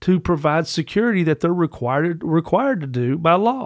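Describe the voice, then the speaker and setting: A man talks with an American accent. His pitch is high, and his intonation is lively. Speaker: podcast co-host. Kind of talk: casual, colloquial. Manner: conversational, frequent "you know" fillers.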